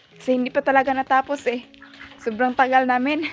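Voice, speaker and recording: Faint music plays in the background as a woman talks at a moderate pace. The sound is dry, with no echo. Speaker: vlogger. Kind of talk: casual vlog chat. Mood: sleepy but cheerful. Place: home room. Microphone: phone near.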